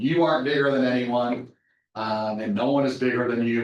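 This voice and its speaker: At a fairly quick pace, a man with an ordinary speaking voice talks in fairly even intonation. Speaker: company manager speaking to a college class. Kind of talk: guest lecture to a class.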